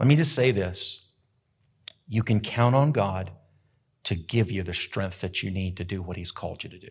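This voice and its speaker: A somewhat breathy man with an American accent, fairly low pitch, ordinary pitch variation, big swings in loudness and long, frequent pauses, on a very clean recording with a silent background. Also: moderate pace. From US Southwest, rural New Mexico. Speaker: pastor. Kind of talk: sermon. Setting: church sanctuary with live audience, also streamed. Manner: animated.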